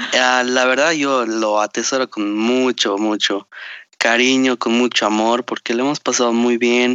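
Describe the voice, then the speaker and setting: At a fairly slow pace, a man speaks with monotone, flat intonation, a medium pitch and very even loudness. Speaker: podcast co-host. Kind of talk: casual chat. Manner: formal word choice.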